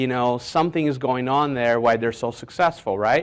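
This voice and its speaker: On a very clean recording with a silent background, a man speaks at medium pitch with ordinary pitch variation. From Brazil, moved to New York City at 14. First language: Portuguese. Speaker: business mentor. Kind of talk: motivational talk. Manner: conversational.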